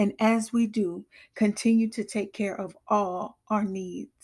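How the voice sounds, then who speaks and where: In a solemn tone, a woman speaks at a very slow pace with medium pitch and fairly even intonation on a very clean recording with a silent background. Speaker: prayer podcaster. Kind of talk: fervent prayer, led aloud for listeners. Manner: earnest, devout, solemn.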